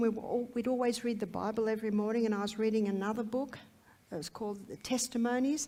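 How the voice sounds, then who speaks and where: A woman with an Australian accent has a dark, mellow tone at a fairly high pitch. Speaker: health educator. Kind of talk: testimony.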